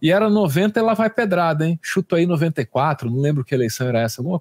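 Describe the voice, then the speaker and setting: Over a silent background in a very clean recording, a plain, everyday voice with lively intonation moves at a moderate pace, the sound dry and close with no echo. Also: man. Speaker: commentator host. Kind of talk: news commentary chat.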